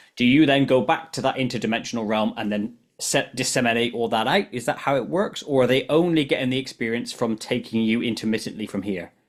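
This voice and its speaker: Speaking very fast with hardly any pauses, a man with a British accent uses a medium pitch and ordinary pitch variation. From UK. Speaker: podcast host. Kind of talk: interview.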